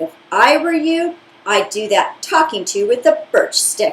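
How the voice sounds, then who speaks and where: Putting on a character voice, a woman speaks at an extremely high pitch. Her pitch swings very widely. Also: fairly slow pace. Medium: read story. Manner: blunt, outspoken.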